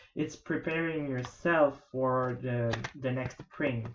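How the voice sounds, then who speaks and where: The speech moves at a very slow pace. It carries a non-native accent. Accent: non-native English accent, self-noted. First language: not English. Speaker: tarot reader. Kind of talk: tarot reading video. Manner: hesitant, many fillers.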